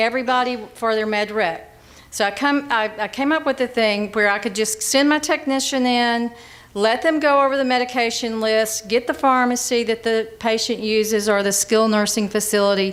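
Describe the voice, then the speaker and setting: With an Alabama accent, a woman speaks at a moderate pace, her fairly high voice carrying ordinary pitch variation. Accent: Southern US (Alabama). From US South (Monroe County, Alabama). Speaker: hospital pharmacist and interim CEO. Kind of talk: conference presentation. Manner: conversational, halting with repetitions.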